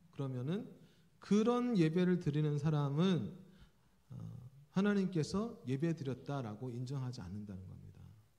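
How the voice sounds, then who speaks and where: A man's somewhat breathy voice at a moderate pace, with big swings in loudness, very wide pitch swings and audible room echo. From South Korea, Jeolla region. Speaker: pastor, preaching professor. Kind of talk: sermon. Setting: church. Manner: conversational, with frequent fillers.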